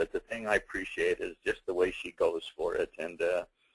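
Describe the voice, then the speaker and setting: A moderate pace in a dry, close sound with no echo. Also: man. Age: 60s. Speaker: webinar host. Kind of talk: webinar interview. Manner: upbeat.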